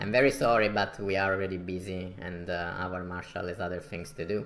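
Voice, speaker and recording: At a fairly quick pace, a man speaks with a very deep, low pitch and ordinary pitch variation. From Italy. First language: Italian. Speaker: strategy game streamer. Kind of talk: gameplay commentary.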